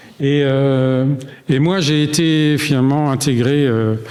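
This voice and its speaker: A man speaks at a medium pitch. Noticeable background noise runs underneath. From Alsace, Strasbourg. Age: 60s. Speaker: retired engineer giving church testimony. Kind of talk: testimony. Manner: hesitant, many fillers.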